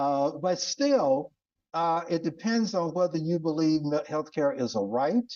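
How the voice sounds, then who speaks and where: A man's high voice with very wide pitch swings. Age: 70s. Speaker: physician and podcast host teaching leadership. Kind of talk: lecture. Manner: conversational, repetitive emphasis.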